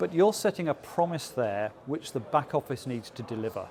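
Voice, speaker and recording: A man speaks with an English accent at a moderate pace. His intonation is lively. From England. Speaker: business process consultant. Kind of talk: interview. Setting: industry conference. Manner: hesitant with frequent fillers.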